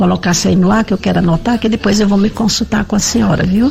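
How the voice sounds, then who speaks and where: The words rush out very quickly while clear noise fills the background. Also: woman. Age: 70s. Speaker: listener. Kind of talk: voice message. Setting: recorded audio message.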